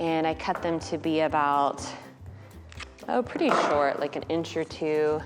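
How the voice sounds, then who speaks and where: Over music in the background, a woman with a very deep, low pitch and ordinary pitch variation talks with long, frequent pauses. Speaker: florist. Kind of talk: DIY tutorial talk to camera.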